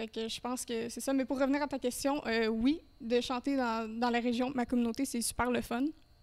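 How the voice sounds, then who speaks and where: Speaking at a moderate pace with hardly any pauses, a woman keeps her high pitch in a monotone, flat intonation. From Eastern Ontario. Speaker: singer. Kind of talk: casual chat. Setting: brewery.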